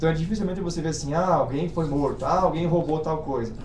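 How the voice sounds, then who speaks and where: A man's fairly high-pitched voice with a Brazilian accent and ordinary pitch variation, over noticeable background noise. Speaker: exchange student. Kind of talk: informational webinar.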